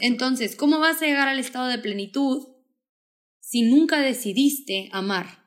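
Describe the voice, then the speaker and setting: Speaking at a fairly slow pace, a woman has a high pitch and ordinary pitch variation. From Mexico, Sonora (Hermosillo). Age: 20s. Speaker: podcaster and speaker. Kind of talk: casual chat.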